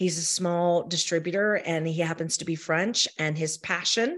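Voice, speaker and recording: Quiet behind her, a woman talks at a fairly slow pace with a fairly low pitch. She has an ordinary speaking voice. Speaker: champagne expert.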